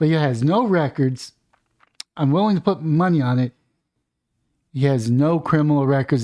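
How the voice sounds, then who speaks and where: With an American accent and a dark, mellow tone, a man speaks at a moderate pace with lively intonation in a very clean recording with a silent background. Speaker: political commentator. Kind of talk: news reaction commentary. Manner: loud; animated.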